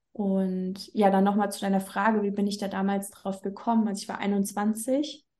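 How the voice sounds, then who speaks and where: Her medium pitch held in a monotone, flat intonation, a woman speaks at a moderate pace with hardly any pauses, her dark, mellow tone somewhat breathy. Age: 30s. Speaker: business coach. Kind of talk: casual interview.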